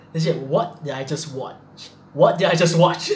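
In a room with audible echo, a man with a high pitch speaks at a moderate pace with ordinary pitch variation. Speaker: reaction video host. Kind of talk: casual vlog chat. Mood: nervous, laughing, freaked out. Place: home room. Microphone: webcam.

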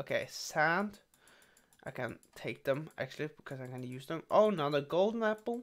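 Moderate-paced speech from a man, the background quiet. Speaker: gaming youtuber. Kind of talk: casual gameplay commentary, let's play. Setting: solo recording over gameplay. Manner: halting, many fillers.

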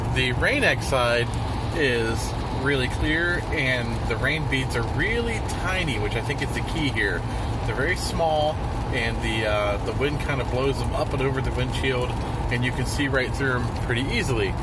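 Loud background noise runs under the recording. A man talks at a moderate pace. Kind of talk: casual vlog commentary. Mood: mildly surprised, amused. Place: car. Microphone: phone near.

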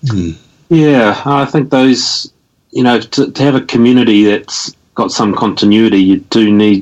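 A man with a New Zealand accent, at a moderate pace, with ordinary pitch variation. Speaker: activist and former local government representative. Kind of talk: casual interview.

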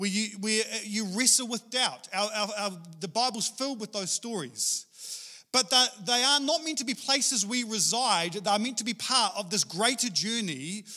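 A man's raised, projected voice with a bright, sharp tone, at a moderate pace over a quiet background. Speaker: preacher. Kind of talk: sermon. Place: church. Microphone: handheld.

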